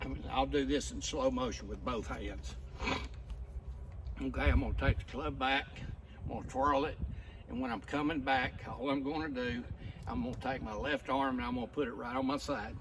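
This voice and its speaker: A man speaks at a moderate pace with long, frequent pauses, amid noticeable background noise and audible room echo. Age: 70s. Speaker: amateur golfer sharing tips. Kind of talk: casual golf tutorial. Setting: outdoors. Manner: casual, folksy.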